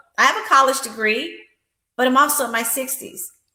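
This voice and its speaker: A woman speaks at a moderate pace with fairly even intonation, and audible room echo can be heard. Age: 60s. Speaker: life insurance agent and empowerment coach. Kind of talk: interview.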